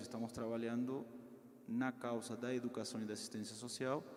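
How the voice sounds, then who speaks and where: A man with a Peruvian accent, audible echo from the room and noticeable noise in the background. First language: Spanish (speaking Portuguese). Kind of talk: talk to parish group. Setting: parish hall, in person and streamed.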